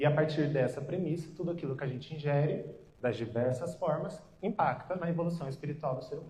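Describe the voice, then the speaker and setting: Audible room echo surrounds a man's dark, mellow tone as he speaks at a fairly quick pace. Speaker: nutritionist. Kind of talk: lecture. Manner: soft-spoken.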